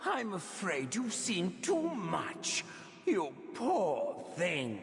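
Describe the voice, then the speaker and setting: A man uses a put-on character voice pitched high. He speaks at a very slow pace. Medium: video game. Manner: cold, menacing.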